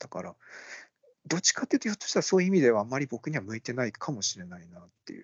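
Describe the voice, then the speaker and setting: This man talks very fast with a fairly high pitch, very wide pitch swings, big shifts in loudness and some vocal fry. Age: 40s. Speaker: podcast co-host. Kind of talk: casual chat.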